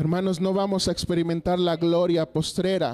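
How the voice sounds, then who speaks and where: A man's voice, high in pitch. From Mexico, Coahuila (US border). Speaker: pastor. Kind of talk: sermon. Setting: church.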